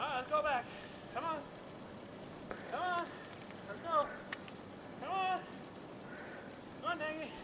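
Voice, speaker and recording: Over noticeable background noise, a man speaks at a moderate pace, leaving long, frequent pauses. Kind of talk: calling dogs outdoors. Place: garden.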